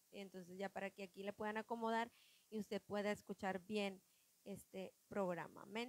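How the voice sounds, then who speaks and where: At a moderate pace and medium pitch, a woman speaks in a monotone, flat intonation with a dry, close sound and no echo. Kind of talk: religious podcast chat. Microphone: listeners say audio too quiet.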